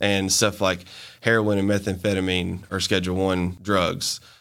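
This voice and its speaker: In a Southern US accent, a man speaks with monotone, flat intonation on a very clean recording with a silent background. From US South, Montgomery, Alabama. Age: young. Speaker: hemp business owner. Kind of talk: interview.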